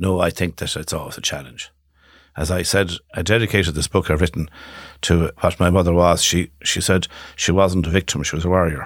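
Recorded very cleanly against a silent background, a man with a western Irish accent and a very deep, low pitch talks at a fairly quick pace with fairly even intonation. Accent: Irish (west of Ireland). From Ireland, Galway. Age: 60s. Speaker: solicitor and clinic founder. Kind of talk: podcast interview. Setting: studio.

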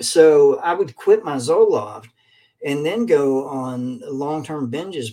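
This man speaks with a Kentucky accent in a fairly high voice. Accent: Kentucky Southern US. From Kentucky, Lexington. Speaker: addiction recovery speaker. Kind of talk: casual talk to online viewers. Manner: halting with fillers.

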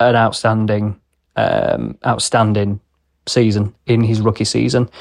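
The sound is dry and close with no echo, over a quiet background. A man with a normal speaking voice talks at medium pitch with fairly even intonation. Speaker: motorsport segment presenter. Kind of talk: solo sports review.

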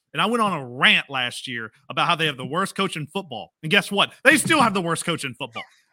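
A man's very fast, animated delivery with a high pitch, bright, sharp tone, very wide pitch swings, and hardly any pauses, in a dry, close sound with no echo on a very clean recording with a silent background. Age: 40s. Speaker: sports podcast co-host. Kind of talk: casual chat. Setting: home studio.

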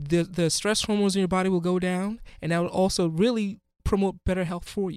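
In a Ghanaian accent, a man with a high pitch speaks at a fairly quick pace with fairly even intonation. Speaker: physician. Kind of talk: interview.

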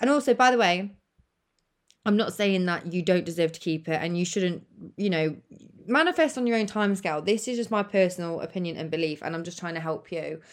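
A woman speaks with a British accent at a fairly quick pace. Her pitch is medium, with ordinary pitch variation. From United Kingdom. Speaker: podcast host and manifestation coach. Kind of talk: solo podcast monologue, casual and conversational. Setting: recording from her bed. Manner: casual, chatty, uses swearing.

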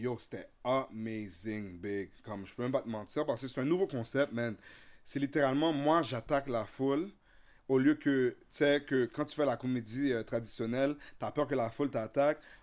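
Captured in a very clean recording with a silent background, a man with an unremarkable speaking voice talks at a moderate pace and medium pitch. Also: ordinary pitch variation. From Ottawa, Ontario (Vanier), born in Haiti. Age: 30s. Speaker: comedian and content creator. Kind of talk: casual chat. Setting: studio.

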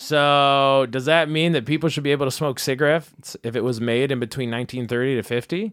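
At a fairly quick pace and with ordinary pitch variation, this is a normal speaking voice. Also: man, fairly high pitch for a man. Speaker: debate moderator. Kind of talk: comedic debate moderating. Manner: sarcastic, jokey.

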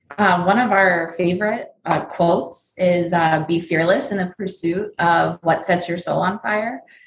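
At a fairly slow pace, a woman with an American accent speaks somewhat breathily, fairly low in pitch with ordinary pitch variation. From New Jersey and Pennsylvania, US. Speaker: face painter and airbrush tattoo business owner. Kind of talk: casual interview.

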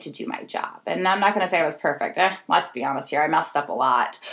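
A woman talks at a fairly quick pace. There is noticeable background noise. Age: 30s. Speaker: podcast host and nonprofit founder. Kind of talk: solo podcast monologue.

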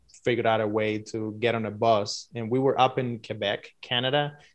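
Over a quiet background, a man speaks with a Spanish accent at a medium pitch and a moderate pace. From Cuba. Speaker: filmmaker. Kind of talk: interview.

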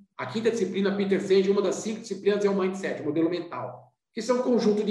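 A man with a high pitch and ordinary pitch variation speaks at a very fast pace amid audible room echo. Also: hardly any pauses. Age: 50s. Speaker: business consultant and company founder. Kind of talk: podcast interview.

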